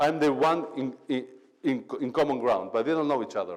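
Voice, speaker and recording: In an animated tone, a man speaks with vocal fry. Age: 40s. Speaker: motivational speaker. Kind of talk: motivational talk.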